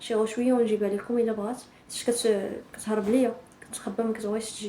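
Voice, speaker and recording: A woman's fairly high voice in a flat monotone, over noticeable background noise. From Morocco, Tan-Tan. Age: 20s. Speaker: vlogger. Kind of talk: casual intro vlog.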